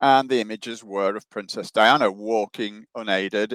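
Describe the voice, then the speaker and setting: A man speaks at a moderate pace with a medium pitch and fairly even intonation. The sound is dry and close, with no echo. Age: 70s. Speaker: author and researcher. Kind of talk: interview.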